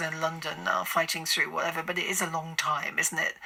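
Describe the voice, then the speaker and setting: A woman speaks very fast, with noticeable background noise in the recording. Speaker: radio presenter. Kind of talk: radio interview questions.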